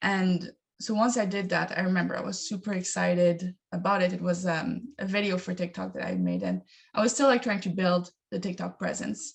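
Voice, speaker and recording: A woman talks at a moderate pace with vocal fry and a medium pitch. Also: ordinary pitch variation. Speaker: digital media content creator. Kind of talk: panel discussion. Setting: video call. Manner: hesitant, many fillers.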